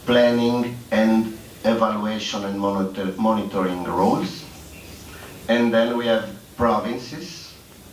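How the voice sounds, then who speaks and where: The speech moves at a fairly slow pace with ordinary pitch variation, over noticeable background noise and audible room echo. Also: man, medium pitch for a man. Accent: non-native. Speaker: public employment services expert. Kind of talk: conference presentation. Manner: halting, many fillers.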